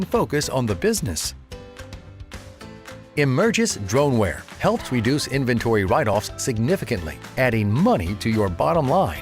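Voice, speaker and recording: A man speaks with very wide pitch swings while music plays in the background. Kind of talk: corporate promo narration.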